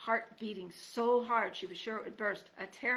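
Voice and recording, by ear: Someone reads aloud in a natural voice, with fairly even intonation.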